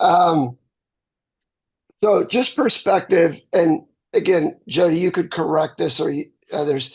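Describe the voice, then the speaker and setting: A man speaks at a very slow pace, with long, frequent pauses. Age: 60s. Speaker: real estate agent in coaching group. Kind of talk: group video call discussion. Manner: halting, repeats words.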